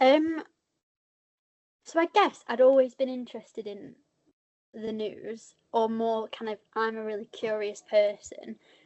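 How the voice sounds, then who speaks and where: A woman with a northern English accent, fairly high in pitch, at a fairly slow pace with long, frequent pauses, big swings in loudness and ordinary pitch variation. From northern England. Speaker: journalist. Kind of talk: panel discussion.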